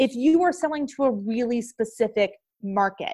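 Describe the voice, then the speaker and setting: A woman speaks with an American accent in an unremarkable speaking voice, her pitch fairly high with ordinary variation. She talks at a moderate pace in a very clean recording with a silent background. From western Pennsylvania. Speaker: sales coach. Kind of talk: casual interview chat.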